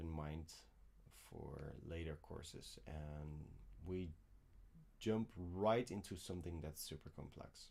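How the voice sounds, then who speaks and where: A soft-spoken man with a very deep, low voice, dark and mellow in tone, fairly even intonation and long, frequent pauses. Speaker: piano teacher. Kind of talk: live Q&A stream. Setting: home studio, livestream. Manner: halting.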